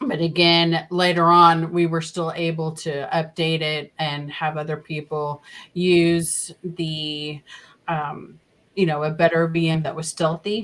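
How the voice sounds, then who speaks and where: With a Southern US accent, a woman speaks fairly slowly in a monotone, flat delivery at a fairly low pitch. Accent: Southern US accent in her normal voice. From Oklahoma. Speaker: podcast co-host and scambaiter. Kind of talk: casual chat.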